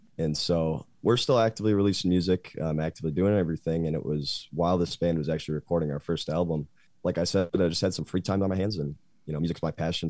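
Very fast and with an American accent, a man speaks at a very deep, low pitch in a dark, mellow tone with fairly even intonation. The recording is very clean with a silent background and a dry, close sound with no echo. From Michigan, Grand Rapids. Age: 20s. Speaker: metalcore band vocalist. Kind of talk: casual interview.

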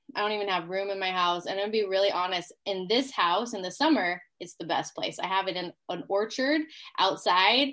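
A woman speaks at a medium pitch with ordinary pitch variation and a fairly quick pace. It is an unremarkable speaking voice. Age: 30s. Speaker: energetic healer and business coach. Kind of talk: casual chat.

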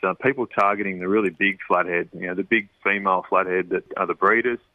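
A man with an Australian accent, fairly low pitch, ordinary pitch variation and a fairly quick pace. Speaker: tackle company rep. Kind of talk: interview, product talk.

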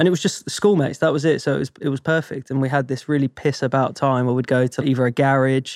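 Someone with a southern English accent speaks at a very fast pace. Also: man, medium pitch for a man. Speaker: drummer. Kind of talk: casual chat. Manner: animated.

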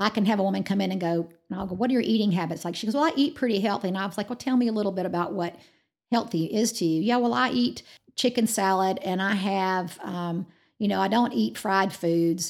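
A woman with an American accent speaks very fast with lively intonation on a very clean recording with a silent background. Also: medium pitch for a woman. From Georgia, US South. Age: 50s. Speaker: fitness studio founder. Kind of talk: interview.

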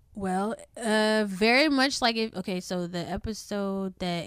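A woman with an American accent and a normal speaking voice, ordinary pitch variation, in a very clean recording with a silent background. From Baltimore, Maryland. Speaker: guest. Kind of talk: casual chat.

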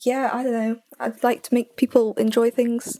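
Speaking with an English accent, a woman with a fairly high pitch and a dark, mellow tone talks at a moderate pace in a dry, close sound with no echo. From England. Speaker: graphic design student, podcaster. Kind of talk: casual interview chat.

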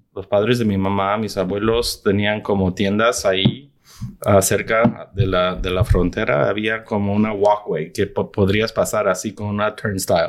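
Over noticeable background noise, a man speaks at a fairly slow pace in a fairly low pitch. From Arizona, US (Nogales and Tucson, border region). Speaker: film and TV content executive. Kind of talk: interview. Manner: halting, many repetitions. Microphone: far from the mic at first.

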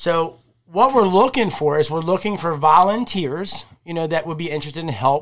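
A man with a Maryland accent and a fairly high pitch talks at a moderate pace with lively intonation, recorded very cleanly with a silent background. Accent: Mid-Atlantic American (Maryland). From Maryland, Harford County. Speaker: fishing podcast co-host. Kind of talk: casual chat. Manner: animated.

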